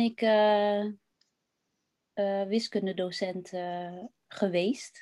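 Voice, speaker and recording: A woman speaks over a quiet background. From Netherlands, West Friesland. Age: 40s. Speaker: former maths teacher, interview guest. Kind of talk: personal interview testimony. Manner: hesitant, many fillers.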